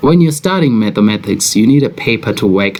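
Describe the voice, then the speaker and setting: There is noticeable background noise as a man speaks. His pace is moderate and his pitch varies in an ordinary way. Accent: South African. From South Africa. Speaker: forex trader. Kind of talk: trading commentary video.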